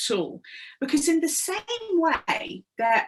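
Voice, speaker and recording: A woman's voice at a fairly slow pace, with very wide pitch swings. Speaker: public speaker and trainer. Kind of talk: workplace wellbeing talk. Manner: humorous, engaging.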